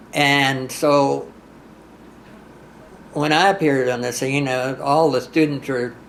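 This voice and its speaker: Noticeable background noise accompanies a man speaking very slowly at a fairly high pitch. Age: 80s+. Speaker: country singer. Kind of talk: interview answer. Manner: hesitant, halting.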